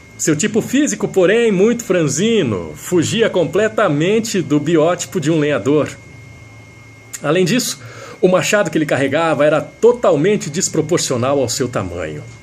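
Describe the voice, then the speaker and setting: With noticeable background noise behind him, a man of fairly high pitch talks at a moderate pace with lively intonation. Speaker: radio announcer. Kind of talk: radio storytelling with a moral.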